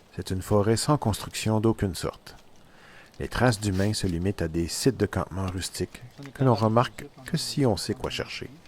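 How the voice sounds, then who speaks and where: A man speaks at a moderate pace with fairly low pitch. His is a plain, everyday voice with ordinary pitch variation. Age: 60s. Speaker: canoe traveller and photographer. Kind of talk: scripted narration.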